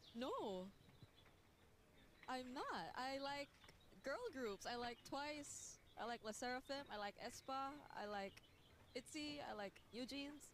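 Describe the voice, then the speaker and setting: Over noticeable background noise, a woman with a high pitch speaks very slowly with long, frequent pauses and very even loudness. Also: ordinary pitch variation. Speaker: esports talent. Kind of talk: casual chat. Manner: quiet.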